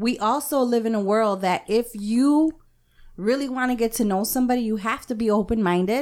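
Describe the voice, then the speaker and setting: A woman with an American accent has an unremarkable speaking voice, fairly high in pitch with ordinary pitch variation and very even loudness. She talks at a fairly quick pace on a very clean recording with a silent background. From Mexican American, US. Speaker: podcast co-host. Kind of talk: casual group chat.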